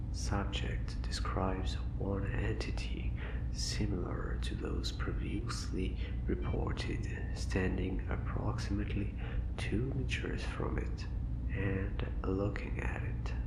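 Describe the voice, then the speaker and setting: Very slow speech over noticeable background noise. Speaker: ASMR content creator. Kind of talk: ASMR horror story reading.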